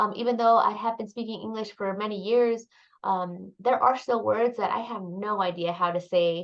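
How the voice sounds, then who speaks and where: Speaking with a Spanish accent, a woman talks at a medium pitch with ordinary pitch variation. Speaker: graduate student. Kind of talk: casual discussion podcast. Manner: hesitant with fillers.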